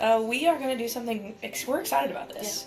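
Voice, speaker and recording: A high-pitched woman talks at a very fast pace, her tone animated and her intonation lively. Music plays in the background, and room echo is audible. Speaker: podcast co-host and former softball player. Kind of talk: live sports commentary chat. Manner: casual, animated.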